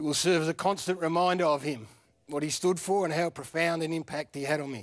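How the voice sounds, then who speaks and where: The speaker talks at a fairly quick pace in an Australian accent with ordinary pitch variation. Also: man, fairly high pitch for a man. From country Victoria, Australia. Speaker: former footballer, TV presenter. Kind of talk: eulogy.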